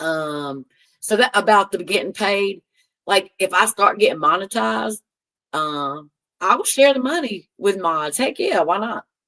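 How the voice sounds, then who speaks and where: A woman with a Southern US accent talks at a fairly slow pace and a medium pitch. Her tone is animated, bright and sharp, with lively intonation. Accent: country Southern US. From North Carolina. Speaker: live streamer. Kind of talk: casual chat. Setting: live stream reading chat.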